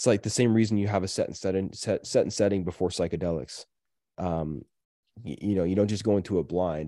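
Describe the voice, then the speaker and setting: Over a quiet background, a man talks at a very fast pace with a very deep, low pitch and ordinary pitch variation. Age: 30s. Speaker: podcaster and real estate project lead. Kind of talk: casual interview conversation. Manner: animated, enthusiastic.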